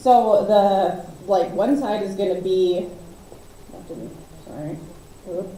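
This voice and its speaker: Through audible room echo and noticeable background noise, a woman speaks at a very slow pace with long, frequent pauses. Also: medium pitch for a woman, ordinary pitch variation, big swings in loudness. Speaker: volunteer organizer. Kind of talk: presentation at a community meeting.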